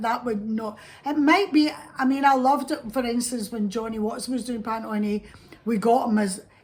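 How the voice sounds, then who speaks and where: Fairly quick, fairly high-pitched speech from a woman with a Scottish accent and ordinary pitch variation, amid noticeable background noise. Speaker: actress. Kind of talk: interview answer.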